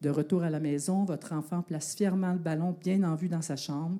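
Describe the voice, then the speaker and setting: A woman with a Quebec accent speaks in a dark, mellow tone on a very clean recording with a silent background. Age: 60s. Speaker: university professor and sport researcher. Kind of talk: public talk at an evening science outreach event; guided visualization story told to audience.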